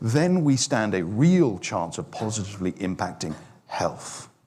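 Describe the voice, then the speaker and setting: Very wide pitch swings from a man with a British accent. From UK. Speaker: fitness industry speaker. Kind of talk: online forum presentation. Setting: online forum.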